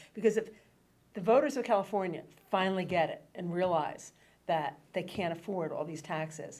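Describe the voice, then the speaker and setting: A woman speaks at a moderate pace with a medium pitch and ordinary pitch variation. Her loudness swings widely. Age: 60s. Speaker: radio host. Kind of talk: political talk radio discussion. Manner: halting, many fillers.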